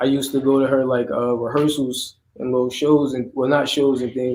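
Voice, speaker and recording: Over noticeable background noise, a man with a New Jersey accent talks at a very fast pace. His pitch is medium and his intonation monotone and flat. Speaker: rapper. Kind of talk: interview. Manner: casual.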